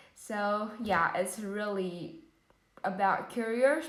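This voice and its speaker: Very slowly, a woman with a Vietnamese accent speaks at medium pitch with ordinary pitch variation amid audible room echo. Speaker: English learner practicing IELTS speaking. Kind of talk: exam speaking practice. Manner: hesitant with fillers.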